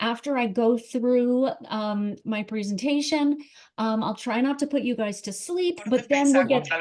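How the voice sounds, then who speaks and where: A woman with a high voice talks fairly slowly, her pitch varying in an ordinary way. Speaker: estate planning lawyer. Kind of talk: webinar presentation.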